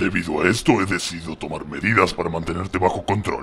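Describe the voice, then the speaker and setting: A man puts on a character voice, pitched very deep and low. He rattles along at a very fast pace. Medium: machinima.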